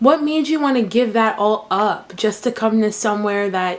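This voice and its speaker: A woman talks in a normal speaking voice. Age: 20s. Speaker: college student interviewing her father. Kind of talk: casual interview.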